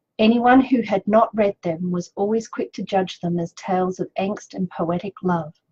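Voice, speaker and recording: A woman with an Australian accent speaks at a moderate pace and medium pitch, her voice somewhat breathy and the sound dry and close with no echo. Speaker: author. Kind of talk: reading aloud; casual chat. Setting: video live stream.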